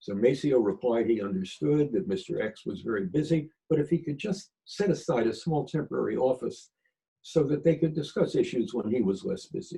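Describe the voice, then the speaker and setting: A man's fairly high but dark, mellow voice with an American accent and vocal fry, very wide pitch swings and a fairly quick pace. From Philadelphia. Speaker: retired government attorney. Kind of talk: storytelling interview.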